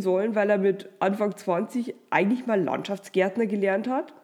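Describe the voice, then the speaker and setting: A woman uses an ordinary speaking voice at a moderate pace, with ordinary pitch variation. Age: 30s. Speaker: podcast host and publisher. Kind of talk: motivational monologue. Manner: warm.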